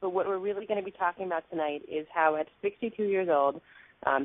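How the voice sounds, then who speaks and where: A woman's medium-pitched, plain, everyday voice with ordinary pitch variation and an American accent. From New York. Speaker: talk show host. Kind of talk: interview.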